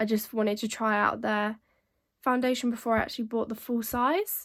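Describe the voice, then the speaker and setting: On a very clean recording with a silent background, a woman with a British accent speaks at a fairly high pitch and moderate pace in a monotone, flat intonation. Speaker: beauty vlogger. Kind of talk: casual product show-and-tell.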